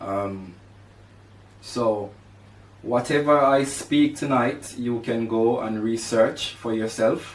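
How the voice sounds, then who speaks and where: With audible room echo, a man at medium pitch speaks at a very slow pace with long, frequent pauses. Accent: Jamaican. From Jamaica (rural, St Catherine). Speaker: podcast host. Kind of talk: personal monologue. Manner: halting, with fillers.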